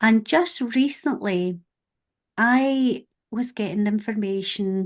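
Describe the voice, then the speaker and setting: The background is quiet. A woman with a medium pitch speaks in a strong Scottish accent. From Scotland. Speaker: podcast host. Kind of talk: casual chat.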